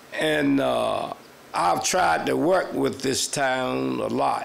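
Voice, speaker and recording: Speaking at a very slow pace, a man is heard with noticeable background noise and audible room echo. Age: 80s+. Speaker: longtime resident speaking at council meeting. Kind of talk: public comment speech.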